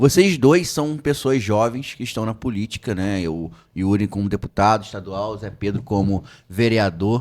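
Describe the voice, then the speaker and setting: A man talks in a normal speaking voice at a moderate pace, pitched fairly low with ordinary pitch variation. The recording is very clean, with a silent background. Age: 20s. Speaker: podcast host. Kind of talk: podcast interview.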